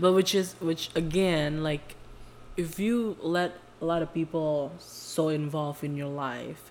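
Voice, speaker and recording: A woman with an Indonesian accent and a very deep, low pitch, speaking at a very slow pace. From Indonesia (Jakarta). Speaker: podcast co-host. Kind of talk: casual chat.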